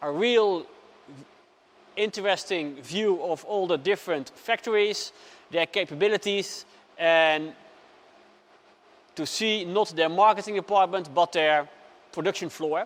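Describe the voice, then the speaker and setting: A man talks with a non-native accent. His pitch is high. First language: not English. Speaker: customer reviewing a machine. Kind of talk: unscripted product review. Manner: hesitant, many fillers.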